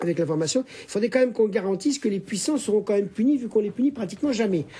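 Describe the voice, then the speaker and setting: This man speaks at a very fast pace. His pitch is high and his intonation lively. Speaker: sociologist, research director. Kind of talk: televised panel debate. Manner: animated.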